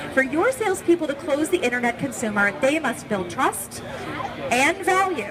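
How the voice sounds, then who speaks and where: There is crowd noise behind a woman speaking in an upbeat tone. Her pitch swings very widely. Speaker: trade show presenter. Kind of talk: live trade show presentation. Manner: upbeat, conversational.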